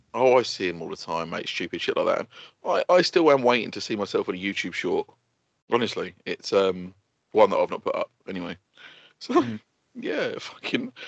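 At a moderate pace, a man speaks with long, frequent pauses in a dry, close sound with no echo. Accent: English. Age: 30s. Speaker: podcast co-host. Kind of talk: casual chat.

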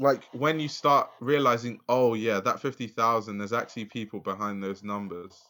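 A man in a London accent, medium pitch, bright, sharp tone, ordinary pitch variation, moderate pace and hardly any pauses, on a very clean recording with a silent background. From south London, Lewisham. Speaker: fashion journalist and YouTuber. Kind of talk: casual interview chat.

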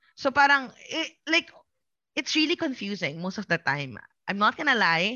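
A woman speaks loudly with a Filipino accent and vocal fry at a moderate pace. Her fairly high voice makes very wide pitch swings. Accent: Filipino English, Taglish code-switching. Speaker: content creator. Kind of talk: casual chat. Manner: animated.

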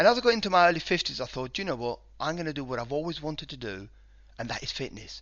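The voice carries vocal fry and very wide pitch swings. Words come out at a very fast pace. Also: man, fairly high pitch for a man. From Spain, then UK from age 19. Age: 50s. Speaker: online fitness coach. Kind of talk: casual interview.

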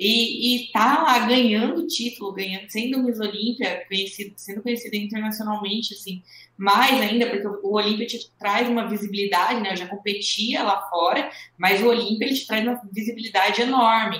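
With an unremarkable speaking voice, a woman speaks at a moderate pace, her pitch fairly high and her intonation fairly even. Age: 20s. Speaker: professional bodybuilding athlete. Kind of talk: interview.

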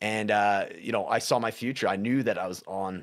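The recording is very clean, with a silent background. A man with a western Canadian accent speaks in a very deep, low voice with ordinary pitch variation. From western Canada, Prince George, British Columbia. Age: 40s. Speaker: recovery and life coach. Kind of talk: casual interview conversation.

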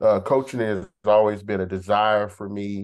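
Against a quiet background, a man speaks in a fairly low pitch with monotone, flat intonation. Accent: American. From Texas. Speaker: university track and field head coach. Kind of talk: interview. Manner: halting.

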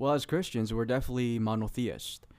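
The man has a normal speaking voice at medium pitch with fairly even intonation. His recording is very clean, with a silent background. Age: 30s. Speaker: pastor. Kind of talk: religious discussion.

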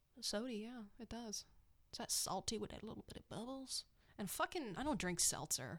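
With lively intonation and fairly high pitch, a woman speaks at a moderate pace in an ordinary speaking voice. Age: 20s. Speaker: podcast co-host. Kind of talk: casual chat.

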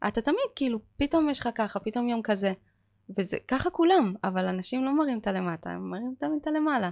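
Fairly quick speech with very wide pitch swings over a quiet background. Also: woman, fairly high pitch for a woman, dry, close sound with no echo. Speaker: manicurist and chemistry lecturer. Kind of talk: casual chat.

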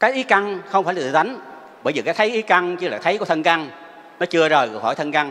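Lively intonation marks this man's high-pitched voice as he talks at a fairly quick pace. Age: 70s. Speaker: Buddhist lay practitioner. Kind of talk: testimony. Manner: formal.

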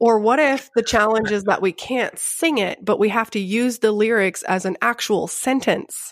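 Her fairly high voice carries a slight Texan accent as this woman speaks. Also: ordinary pitch variation, moderate pace. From Grapevine, Texas. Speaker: podcast host. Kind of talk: casual chat. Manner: playful.

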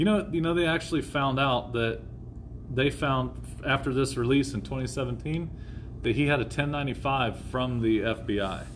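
A man with a normal speaking voice talks at a fairly slow pace with a medium pitch, ordinary pitch variation, and very even loudness. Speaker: podcast host. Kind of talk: casual chat. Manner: casual, joking.

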